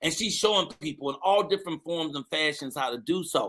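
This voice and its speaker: A man delivers his words in a raised, projected voice at a moderate pace, his tone animated, bright, and sharp. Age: 60s. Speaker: morning show host. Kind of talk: live show hosting, casual chat. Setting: online live stream with studio guests.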